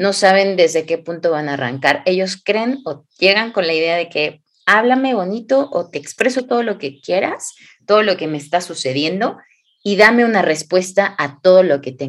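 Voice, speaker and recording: A woman of medium pitch, at a moderate pace, with an unremarkable speaking voice. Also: lively intonation. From Mexico, Hidalgo. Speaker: clinical psychologist, podcast co-host. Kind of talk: casual podcast conversation.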